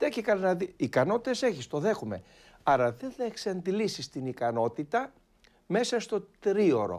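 A man speaks with a high pitch. His pitch swings very widely. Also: fairly slow pace. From Istanbul, Turkey (Greek minority). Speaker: Byzantine church chanter; guest. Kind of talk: interview. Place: studio. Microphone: lapel.

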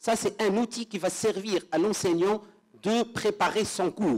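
Against a quiet background, a man speaks very slowly in a high voice. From Tunisia. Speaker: law lecturer; panelist, law lecturer. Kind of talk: conference presentation; panel discussion. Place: hall.

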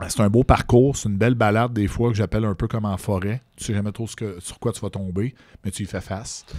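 A very fast-talking man with a Quebec accent, a fairly low pitch and fairly even intonation, in a very clean recording with a silent background. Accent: Québécois French. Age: 40s. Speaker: social media personality. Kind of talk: casual interview.

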